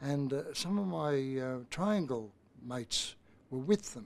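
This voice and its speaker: This man has a fairly high pitch and speaks with an Australian accent. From Australia, Brisbane. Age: 80s+. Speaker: youth program founder. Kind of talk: interview. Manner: halting, with many fillers.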